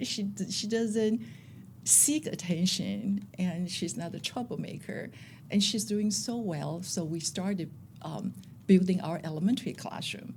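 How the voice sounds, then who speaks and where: A woman speaks at a fairly slow pace with a medium pitch, lively intonation and vocal fry. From Taiwan. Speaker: school principal. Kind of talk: interview.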